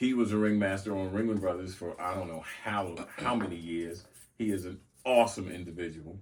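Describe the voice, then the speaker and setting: A man with an American accent speaks at a very deep, low pitch and a fairly quick pace. His intonation is fairly even, and there is audible room echo. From US South (Mobile, Alabama). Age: 60s. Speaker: former circus ringmaster. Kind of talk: casual interview.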